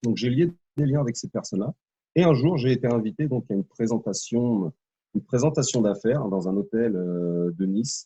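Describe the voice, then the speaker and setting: A man with a dark, mellow tone, medium pitch, lively intonation, and a moderate pace, in a dry, close sound with no echo. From Normandy, France. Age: 30s. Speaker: network marketer, former soldier. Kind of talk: interview. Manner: hesitant, many fillers.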